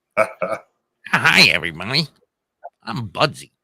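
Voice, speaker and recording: A put-on character voice, raised and projected, moves at a fairly slow pace. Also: man. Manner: changed, put-on puppet voice.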